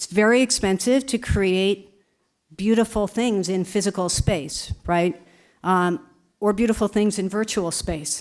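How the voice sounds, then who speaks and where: A woman's normal speaking voice, medium in pitch, with lively intonation at a moderate pace over a very clean recording and silent background. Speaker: museum director. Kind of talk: conference Q&A answer. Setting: conference with audience.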